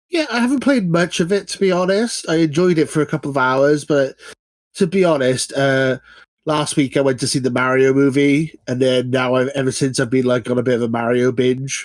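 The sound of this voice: A man's voice at medium pitch, with ordinary pitch variation and a fairly quick pace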